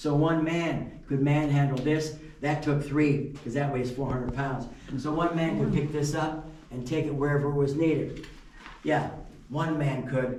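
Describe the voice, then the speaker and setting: A man with a fairly high pitch and monotone, flat intonation at a moderate pace, amid light background noise and audible room echo. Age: 70s. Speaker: mine tour guide. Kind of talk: guided tour talk. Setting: underground mine with tour group. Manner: casual, conversational. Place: tunnel cave. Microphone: camera far.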